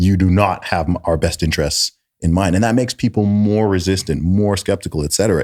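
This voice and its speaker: Over a very clean recording with a silent background, a man with a very deep, low pitch talks at a fairly quick pace in an animated tone. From Saudi Arabia. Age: 20s. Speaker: rapper and podcast host. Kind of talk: casual chat. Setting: studio.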